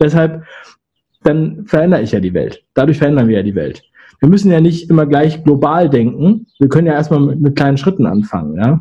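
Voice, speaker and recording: Somewhat breathy, a man talks at a fairly quick pace with a fairly high pitch, a dark, mellow tone and lively intonation. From Hamburg area, Germany. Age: 30s. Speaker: agency founder and YouTuber. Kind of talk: interview.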